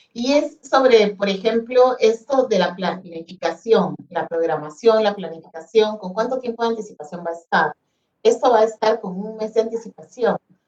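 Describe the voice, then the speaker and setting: Her loudness swinging widely, a woman talks at a fairly high pitch with ordinary pitch variation. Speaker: education ministry specialist. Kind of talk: webinar presentation. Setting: online webinar. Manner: fast.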